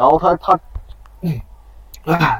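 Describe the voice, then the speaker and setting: A man speaks over noticeable background noise. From Heilongjiang, Harbin Hulan district. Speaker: university student storyteller. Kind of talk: storytelling. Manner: halting. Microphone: echo in places.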